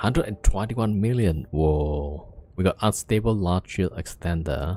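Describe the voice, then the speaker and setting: With music in the background, a man speaks at a moderate pace in a very deep, low pitch, his pitch varying in an ordinary way. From Indonesia. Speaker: game streamer. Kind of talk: casual live-stream chat.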